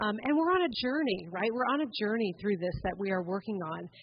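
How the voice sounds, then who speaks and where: This woman speaks at a fairly quick pace. Her intonation is lively. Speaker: fundraising officer and club member. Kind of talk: conference talk. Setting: stage with audience.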